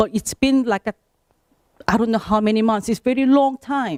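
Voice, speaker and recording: With a non-native accent, a woman speaks at a fairly quick pace and fairly high pitch in a dark, mellow tone, the sound dry and close with no echo. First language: not English. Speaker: affected homeowner at public meeting. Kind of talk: public meeting complaint.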